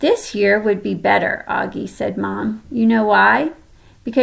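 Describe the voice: Reading aloud, plainly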